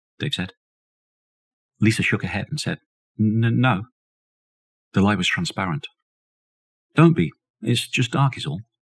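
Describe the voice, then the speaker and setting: Long, frequent pauses break up a man's lively intonation and dramatic tone. His voice is somewhat breathy, and the sound is dry and close with no echo. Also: medium pitch for a man, moderate pace. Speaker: audiobook narrator. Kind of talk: audiobook reading of a horror novella, scripted narration. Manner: measured, storytelling pace, dramatic and suspenseful.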